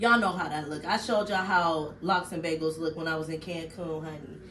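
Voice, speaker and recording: An animated tone carries through audible room echo and noticeable background noise. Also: woman. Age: 40s. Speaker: vlogger. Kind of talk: casual vlog chat.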